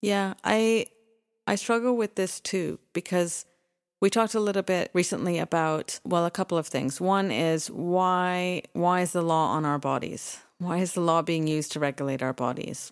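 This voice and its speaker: With a Canadian accent and an ordinary speaking voice, a woman speaks at a moderate pace and fairly low pitch, with ordinary pitch variation and very even loudness, in a dry, close sound with no echo on a very clean recording with a silent background. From Canada, Toronto. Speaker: podcast co-host, foundation executive director. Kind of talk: casual chat. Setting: studio.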